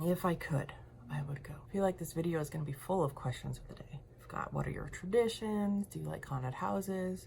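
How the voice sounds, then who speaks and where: At a fairly quick pace, a woman with a very deep, low pitch speaks in an animated tone, with lively intonation and big swings in loudness. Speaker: lifestyle and makeup vlogger. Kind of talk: casual vlog chat while doing makeup. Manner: chatty, animated.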